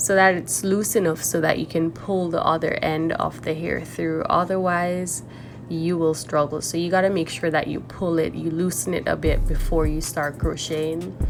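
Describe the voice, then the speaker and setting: There is noticeable background noise as the woman speaks at a moderate pace. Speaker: natural hair vlogger. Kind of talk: tutorial. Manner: casual, chatty.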